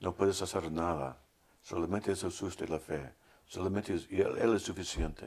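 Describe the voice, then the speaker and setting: A man speaks at a moderate pace with a very deep, low pitch, an American accent, and fairly even intonation. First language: English (speaking Spanish). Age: 60s. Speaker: theologian and radio host. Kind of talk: casual interview, closing remarks.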